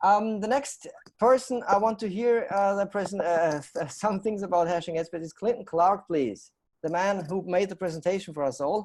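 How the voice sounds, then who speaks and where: With a German accent, a man talks at a moderate pace, his pitch high and its variation ordinary. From Austria. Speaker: talk show host. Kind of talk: live panel show hosting.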